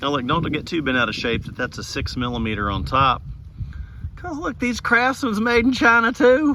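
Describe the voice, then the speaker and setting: Over noticeable background noise, a man speaks at a moderate pace in a high pitch that swings very widely. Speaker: DIY repair video maker. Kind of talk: tutorial. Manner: halting, stammering.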